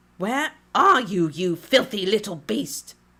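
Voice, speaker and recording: A put-on character voice, shrill and growling, at a middle pitch and a fairly slow pace. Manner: screeching, hunting.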